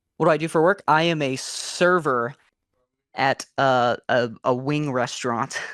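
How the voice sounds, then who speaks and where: A man's fairly high voice at a fairly slow pace, with ordinary pitch variation and a dry, close sound with no echo. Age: 20s. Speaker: caller, restaurant server. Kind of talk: casual chat.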